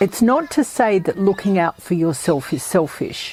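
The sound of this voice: A woman talks at a medium pitch with big swings up and down. Her tone is slightly mellow with a slightly husky edge. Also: moderate pace.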